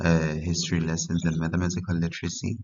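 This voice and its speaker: A man's very deep, low voice with a non-native accent. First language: not English. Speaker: history tutor. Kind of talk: tutorial. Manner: halting.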